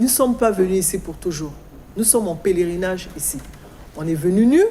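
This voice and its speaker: With audible room echo, a woman talks at a fairly quick pace, her medium pitch rising and falling in lively intonation. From Congo. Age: 60s. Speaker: guest speaking on African culture and spirituality. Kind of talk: talk show interview.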